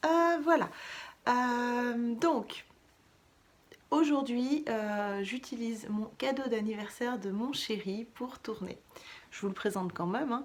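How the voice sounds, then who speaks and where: With long, frequent pauses, the talking proceeds at a very slow pace while the pitch varies in an ordinary way. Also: woman, high pitch for a woman. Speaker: knitting vlogger. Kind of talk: casual vlog chat. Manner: soft-spoken; hesitant, many fillers.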